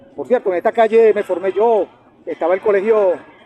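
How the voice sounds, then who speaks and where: A man at a very fast pace, with fairly even intonation and noticeable background noise. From Venezuela, Valle de la Pascua (Guárico, llanos). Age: 50s. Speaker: lawyer and human rights defender. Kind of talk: casual interview. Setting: outdoors in the sun.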